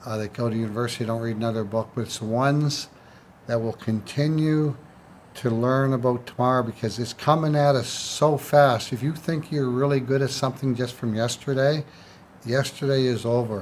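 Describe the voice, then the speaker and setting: This man has an unremarkable speaking voice at a medium pitch. He talks at a moderate pace with fairly even intonation. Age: 60s. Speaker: used car dealer. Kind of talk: casual chat.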